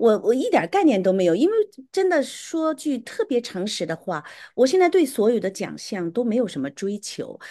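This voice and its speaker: With a dark, mellow tone and very wide pitch swings, a woman speaks at a moderate pace in a fairly high pitch over a quiet background. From Beijing, China. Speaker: erhu musician. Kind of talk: interview testimony.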